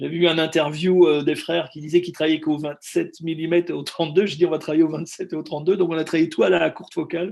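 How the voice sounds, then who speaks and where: A man's high-pitched voice. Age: 60s. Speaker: film director. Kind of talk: interview. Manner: halting, many repetitions.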